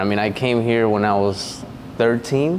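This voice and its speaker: Noticeable background noise sits behind this recording. A man with a Spanish accent speaks at a fairly low pitch. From Veracruz, Mexico. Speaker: diesel mechanic and real estate agent. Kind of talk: casual interview chat.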